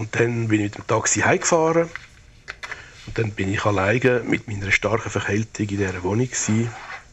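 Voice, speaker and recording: Speech comes at a fairly quick pace with noticeable background noise underneath. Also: man, fairly low pitch for a man, ordinary pitch variation. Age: 70s. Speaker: retired public health official. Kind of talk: personal audio diary.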